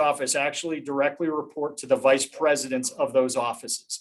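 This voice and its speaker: A man speaks with an American accent and a fairly high pitch. His pace is fairly quick. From US East Coast. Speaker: head of business development at a firm. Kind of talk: panel presentation with slides. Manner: fast; halting, many fillers and repeats.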